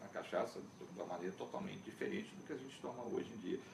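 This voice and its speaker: Audible room echo surrounds a man who talks fairly quickly. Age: 60s. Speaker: cachaça expert. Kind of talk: interview.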